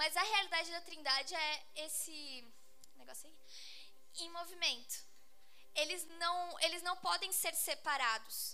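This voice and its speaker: With audible room echo, a woman projects a raised, extremely high-pitched voice at a very slow pace, her loudness swinging widely while her pitch varies in an ordinary way. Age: 20s. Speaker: youth group Bible teacher. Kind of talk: sermon. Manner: casual, conversational.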